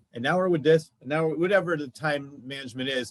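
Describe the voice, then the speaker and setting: A normal speaking voice from a man, fairly high in pitch, at a fairly quick pace with ordinary pitch variation. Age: 50s. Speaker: podcast host. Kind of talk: casual chat.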